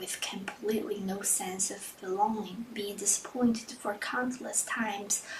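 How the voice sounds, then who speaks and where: A fairly slow pace of speech against noticeable background noise. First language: not English. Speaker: vlogger. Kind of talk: reading aloud; casual vlog. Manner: halting.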